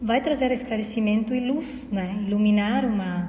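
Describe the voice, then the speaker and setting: Recorded with audible room echo and noticeable background noise, a woman talks at a fairly slow pace in a fairly high pitch. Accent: Uruguayan. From Uruguay. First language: Spanish (speaking Portuguese). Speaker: podcast co-host, holistic therapist. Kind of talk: casual conversation. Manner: halting, many fillers.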